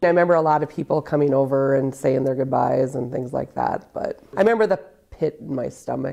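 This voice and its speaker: Delivered at a fairly quick pace with hardly any pauses, the voice has a dark, mellow tone and ordinary pitch variation. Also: woman, very deep, low pitch for a woman. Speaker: widow of a soldier, interview subject. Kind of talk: TV interview answer. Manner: emotional, hesitant.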